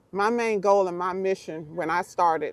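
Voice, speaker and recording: This woman speaks at a medium pitch with a slight Southern US accent, in a dry, close sound with no echo. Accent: slight Southern twang. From Miami, Florida. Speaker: pro golfer and youth golf coach. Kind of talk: casual talk to camera. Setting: outdoors in the sun.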